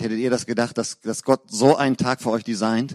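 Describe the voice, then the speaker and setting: On a very clean recording with a silent background and a dry, close sound with no echo, a man speaks at a moderate pace. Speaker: pastor. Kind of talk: sermon. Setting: church. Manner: animated, warm and fervent.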